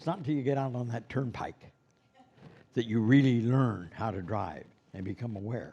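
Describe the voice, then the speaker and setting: A man with an American accent speaks at a moderate pace and medium pitch, with a dark, mellow tone, ordinary pitch variation, and long, frequent pauses. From Los Angeles, US. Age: 70s. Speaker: Santa performer and instructor. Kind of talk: lecture. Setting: classroom with live stream.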